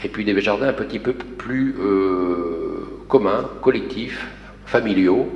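A man speaks at a fairly low pitch with ordinary pitch variation. Audible room echo and light background noise are present. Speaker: architect. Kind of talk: project presentation. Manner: halting. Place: hall.

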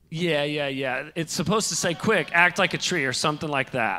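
Speaking at a moderate pace, a man has a fairly high pitch and a bright, sharp tone.

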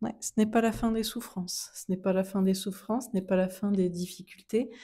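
Soft-spoken and somewhat breathy, a woman speaks at a moderate pace in a medium pitch with fairly even intonation, a calm tone and a dark, mellow tone. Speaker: tarot card reader. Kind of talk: tarot reading.

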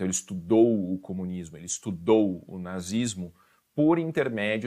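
A man is talking here. The pitch of his voice sits very deep and low. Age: 30s. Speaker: police chief and motivational speaker. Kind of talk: live-streamed motivational talk. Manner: animated, informal.

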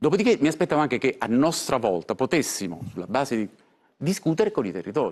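A man talks at a very fast pace, his fairly high voice making very wide pitch swings. Vocal fry is audible. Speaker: senator and former party member. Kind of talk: heated political argument, interrupting and retorting. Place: studio. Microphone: lapel.

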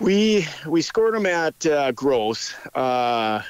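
A man with an Upper Midwest accent and very wide pitch swings. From North Dakota. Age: 40s. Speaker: hunter. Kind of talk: casual interview.

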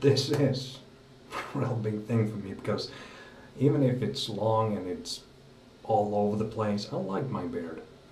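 A man talks at a fairly slow pace with long, frequent pauses and ordinary pitch variation. Audible room echo and light background noise surround his voice. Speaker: vlogger. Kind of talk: casual vlog chat. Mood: festive, slightly nervous. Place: bathroom. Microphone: phone near.

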